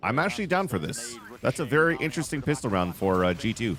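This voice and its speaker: Against noticeable background noise, a man talks at a fairly quick pace with very wide pitch swings. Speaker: esports co-streamer and analyst. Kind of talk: casual watch-party commentary. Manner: casual, filler-heavy.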